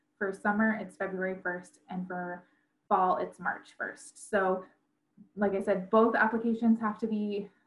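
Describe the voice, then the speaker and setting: Somewhat breathy, a woman speaks at a fairly slow pace in a flat monotone. Room echo is audible. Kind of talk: information session presentation. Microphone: video call.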